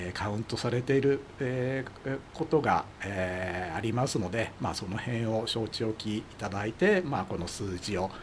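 Amid noticeable background noise, a man at a medium pitch talks at a fairly slow pace with ordinary pitch variation. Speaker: amateur radio expert commentator. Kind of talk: explanatory casual chat.

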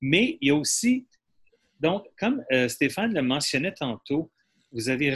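With a bright, sharp tone and a fairly high pitch, a man speaks at a fairly slow pace while his pitch swings very widely. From Quebec. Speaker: audience participant, actor. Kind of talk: audience comment, personal testimony.

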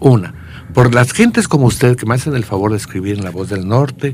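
A man at a fairly quick pace with very wide pitch swings, over noticeable background noise. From Querétaro, Mexico. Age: 70s. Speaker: poet and songwriter. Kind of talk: radio interview.

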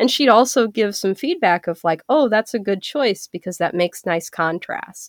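A woman's medium-pitched, ordinary speaking voice, an ordinary speaking voice with lively intonation, a moderate pace and hardly any pauses, in dry, close sound with no echo. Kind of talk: casual interview.

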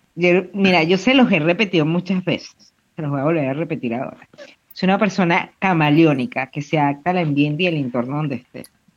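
Fairly quick pace and ordinary pitch variation from a man with a high pitch. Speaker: podcast co-host. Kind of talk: casual chat.

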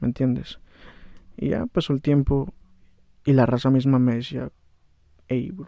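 A man's dark, mellow voice sits at medium pitch with fairly even intonation. He talks at a moderate pace in a dry, close sound with no echo. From Baja California, Mexico (Valle de Guadalupe). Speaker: rapper. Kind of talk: casual chat.

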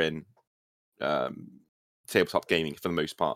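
On a very clean recording with a silent background, a man with a British accent sounds dry and close, with no echo. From Britain. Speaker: gaming YouTuber and writer. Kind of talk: casual chat.

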